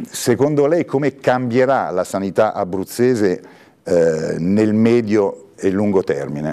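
A man's medium-pitched voice with lively intonation, against a quiet background. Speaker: journalist and interviewer; journalist, interviewer. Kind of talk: moderated interview. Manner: halting, repeats words. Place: studio. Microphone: lapel.

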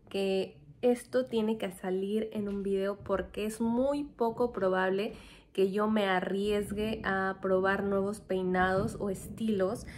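A woman at a very slow pace, her intonation fairly even, over light background noise. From Mexico. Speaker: vlogger, former nurse; vlogger. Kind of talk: casual vlog talk to camera. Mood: playful, cheerful. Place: home room. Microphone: phone near.

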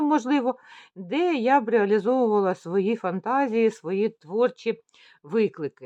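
With very wide pitch swings and a fairly high pitch, a woman speaks at a moderate pace in a dry, close sound with no echo and a quiet background. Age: 50s. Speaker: knitting vlogger. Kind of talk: casual monologue. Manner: casual.

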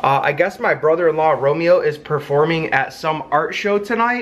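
A man speaks at a fairly quick pace. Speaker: vlogger. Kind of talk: casual vlog chat. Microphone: phone near.

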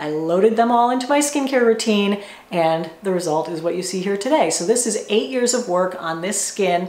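A woman talks at a moderate pace in a medium pitch with lively intonation and hardly any pauses. Audible room echo fills the recording. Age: 50s. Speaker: beauty YouTuber. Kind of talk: tutorial. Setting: home bathroom. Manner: animated. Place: bathroom.

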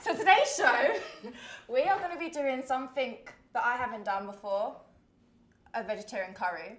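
A woman talks at a moderate pace with a high pitch. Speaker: cooking show host. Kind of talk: casual cooking show chat. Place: kitchen.

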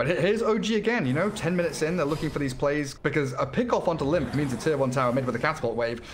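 Over noticeable background noise, a man talks at a very fast pace with a fairly high pitch. His tone is animated and his intonation lively. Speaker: esports commentator. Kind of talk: live esports commentary. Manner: fast, animated play-by-play; excitable, laughs mid-call.

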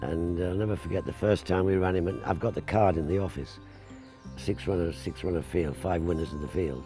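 A fairly quick male voice, very deep and low, with ordinary pitch variation, dry with no echo, over clear background music. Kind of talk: interview answer. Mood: fond, amused reminiscing. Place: garden. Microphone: lapel.

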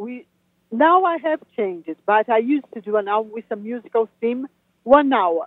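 A woman with a Portuguese accent speaks at a moderate pace in a fairly high pitch, her intonation lively and her loudness swinging widely. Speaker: new age musician. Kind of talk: interview. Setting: phone call. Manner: halting.

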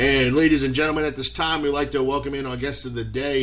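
A man of medium pitch with monotone, flat intonation. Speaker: wrestling radio show host. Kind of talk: radio show hosting and announcements.

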